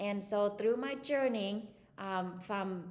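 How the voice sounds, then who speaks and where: In a Vietnamese accent, a woman of medium pitch speaks at a very slow pace with fairly even intonation and audible room echo. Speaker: psychologist. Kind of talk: interview. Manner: hesitant, many fillers.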